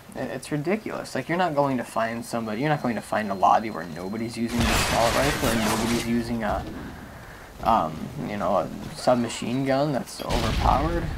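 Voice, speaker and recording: A man speaks fairly quickly at a medium pitch. Noticeable background noise runs under his voice. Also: ordinary pitch variation. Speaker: gaming commentator. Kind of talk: gameplay commentary.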